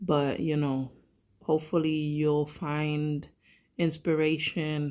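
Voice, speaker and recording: Very slow pace on a very clean recording with a silent background. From Puerto Rico. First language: Spanish. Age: 30s. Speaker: vlogger. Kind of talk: personal vlog. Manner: halting.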